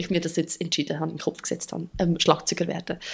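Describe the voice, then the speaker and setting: This is a woman speaking. Her pitch is fairly low. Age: 30s. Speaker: drummer and therapist. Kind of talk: interview.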